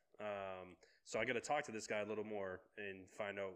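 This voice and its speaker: A man speaks fairly slowly in a fairly low voice, his intonation flat and monotone. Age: 30s. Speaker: podcast co-host. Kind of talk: casual chat.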